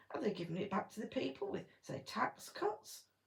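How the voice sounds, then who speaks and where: A woman talks at a moderate pace with an English accent. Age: 50s. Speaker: gardening vlogger. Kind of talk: political rant. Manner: animated.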